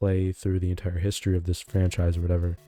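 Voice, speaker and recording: Music plays behind a man with a very deep, low pitch and monotone, flat intonation. The sound is dry and close, with no echo. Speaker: gaming streamer. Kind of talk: casual live-stream commentary. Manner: conversational, hesitant with fillers.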